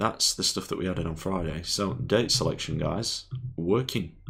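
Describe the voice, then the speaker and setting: A man with an English accent, very deep and low in pitch, with vocal fry, ordinary pitch variation and a fairly slow pace. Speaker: programming tutorial streamer. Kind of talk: live coding tutorial. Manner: casual, thinking aloud.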